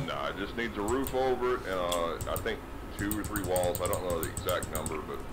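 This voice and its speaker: Speech at a fairly quick pace with noticeable background noise. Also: man. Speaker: gaming video co-host. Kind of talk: casual gaming chat. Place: home room. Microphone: headset.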